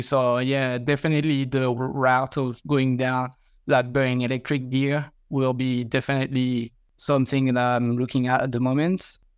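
Over a quiet background, a man with a French accent speaks at a moderate pace with monotone, flat intonation. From France. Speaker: mowing franchisee. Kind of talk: casual interview.

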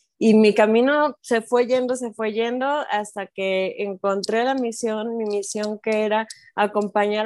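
A speaker with a Mexican accent talks in monotone, flat intonation on a very clean recording with a silent background and a dry, close sound with no echo. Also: woman. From Mexico. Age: 40s. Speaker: life coach for mothers. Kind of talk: interview.

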